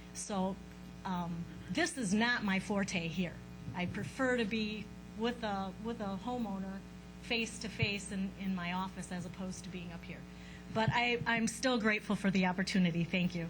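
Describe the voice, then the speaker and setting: Music plays in the background and the room echo is audible. A woman speaks at a moderate pace and medium pitch, with fairly even intonation. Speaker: housing counselor. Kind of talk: public presentation. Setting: stage with audience.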